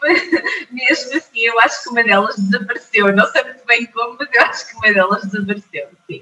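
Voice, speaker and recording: At a fairly quick pace, a woman with a fairly high pitch speaks with lively intonation and big swings in loudness. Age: 30s. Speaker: mind trainer. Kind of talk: testimony. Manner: hesitant, many fillers.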